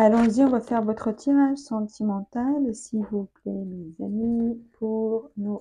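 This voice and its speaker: A woman's dark, mellow, somewhat breathy voice at a very slow pace with fairly even intonation. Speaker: tarot reader. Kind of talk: tarot reading video. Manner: hesitant, many fillers and repetitions.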